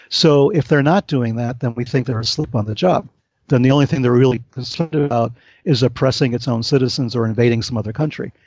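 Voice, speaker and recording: A man talks at a very fast pace in a medium pitch. His pitch variation is ordinary. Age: 60s. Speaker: author, UFO researcher. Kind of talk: interview conversation.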